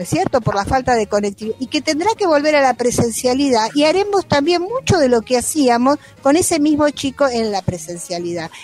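A woman's high-pitched voice at a fairly quick pace with hardly any pauses and very wide pitch swings, dry and close with no echo, with music in the background. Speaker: retired school principal. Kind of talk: interview. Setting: video call.

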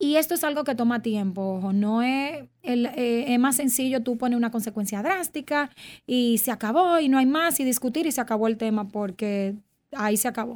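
A woman speaks in a high pitch with ordinary pitch variation. Her pace is moderate. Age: 30s. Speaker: clinical psychologist. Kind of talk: interview.

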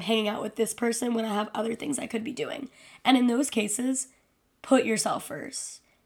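Using an ordinary speaking voice, a woman keeps a fairly high pitch and ordinary pitch variation. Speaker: podcast host. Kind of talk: solo casual monologue. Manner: casual, filler-heavy.

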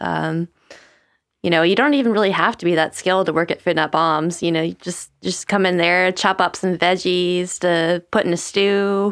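A woman with an American accent and a plain, everyday voice speaks at a moderate pace, fairly low in pitch, with fairly even intonation and very even loudness, in a very clean recording with a silent background. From Charleston, South Carolina. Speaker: food-sharing volunteer. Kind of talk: casual interview chat.

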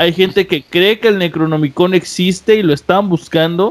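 A man talks at a moderate pace. His pitch is high. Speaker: podcast host. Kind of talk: casual chat.

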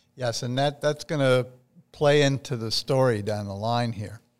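In a very clean recording with a silent background, a man with a New Jersey accent talks at a medium pitch with ordinary pitch variation. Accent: New Jersey American. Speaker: podcast host. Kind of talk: interview.

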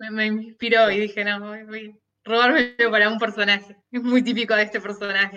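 Speaking in a Rioplatense accent with hardly any pauses, a woman at a fairly high pitch keeps a moderate pace and monotone, flat intonation while her loudness swings widely. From Argentina, Buenos Aires. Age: 30s. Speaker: writer and teacher. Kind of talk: interview conversation.

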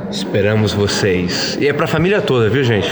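A man speaks with a São Paulo accent. Noticeable background noise and audible room echo surround him. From São Paulo, Brazil. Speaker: actor. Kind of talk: casual interview.

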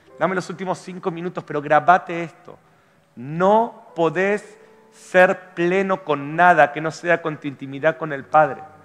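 With an Argentine accent, a man speaks at a high pitch and a fairly slow pace. His intonation stays fairly even. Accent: Argentine Spanish (voseo). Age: 40s. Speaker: pastor. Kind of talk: sermon. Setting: church.

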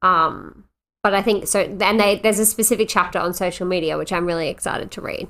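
A woman with an Australian accent talks very fast in a bright, sharp tone at medium pitch, on a very clean recording with a silent background. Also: fairly even intonation. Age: 20s. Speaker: podcast co-host. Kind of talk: casual chat.

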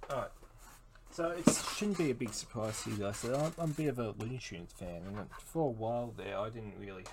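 A man with an Australian accent, talking at a moderate pace. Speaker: solo podcaster. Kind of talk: casual monologue. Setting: home recording.

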